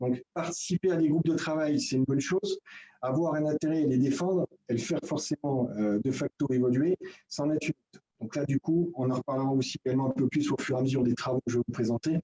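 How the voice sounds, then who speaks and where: Talking at a very fast pace, a man with a fairly high pitch has a dark, mellow tone and ordinary pitch variation, in a dry, close sound with no echo. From Franche-Comté, eastern France. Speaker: building trade federation technical advisor. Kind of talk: presentation in a video meeting. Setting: video conference. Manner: hesitant, many filler euh.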